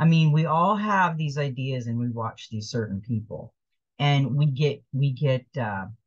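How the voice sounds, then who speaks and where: Against a quiet background, a somewhat breathy voice moves at a fairly slow pace. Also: woman, very deep, low pitch for a woman. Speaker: card reader. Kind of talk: spiritual card reading, partly read aloud. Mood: calm, gentle. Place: kitchen. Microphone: webcam.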